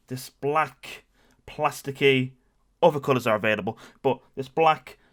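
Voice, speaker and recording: In a British accent, a man with a medium pitch and ordinary pitch variation speaks at a fairly slow pace. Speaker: gamer and streamer. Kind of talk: comedic story time to camera.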